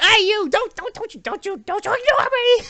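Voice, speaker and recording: A put-on character voice speaks at a moderate pace. It is extremely high and squeaky. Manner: indignant, demanding.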